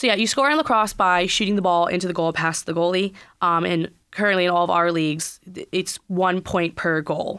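A woman with an American accent, a plain, everyday voice, fairly low pitch, fairly quick pace, ordinary pitch variation and very even loudness. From US Midwest (Minnesota), then Virginia. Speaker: lacrosse player. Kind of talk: radio interview. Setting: studio.

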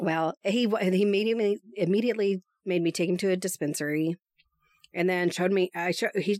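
A woman with a normal speaking voice and an American accent, medium pitch, fairly even intonation and a fairly quick pace, in a dry, close sound with no echo on a very clean recording with a silent background. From East Texas. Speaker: podcaster. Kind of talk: casual chat.

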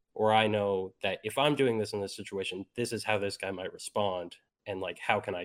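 A man with a Canadian accent has a plain, everyday voice at fairly low pitch and a moderate pace. The recording is very clean with a silent background, dry and close with no echo. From Canada. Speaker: esports player. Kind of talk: casual chat.

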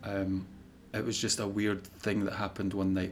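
A man with a Scottish accent speaks at a fairly low pitch. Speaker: paranormal content creator. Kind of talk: casual chat. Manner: monotone.

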